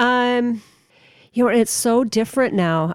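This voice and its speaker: In a very clean recording with a silent background, a woman speaks with an Upper Midwest accent and ordinary pitch variation. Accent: Upper Midwest (Minnesota). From Minnesota, Twin Cities (Roseville). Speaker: magazine editor. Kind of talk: interview.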